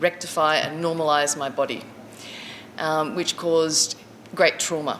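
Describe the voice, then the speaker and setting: The speaker has an Australian accent and a monotone, flat intonation at a fairly slow pace. Noticeable background noise runs underneath. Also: woman, very deep, low pitch for a woman. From Queensland, Australia. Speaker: community storyteller, drumming facilitator. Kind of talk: personal life story talk. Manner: halting, many fillers.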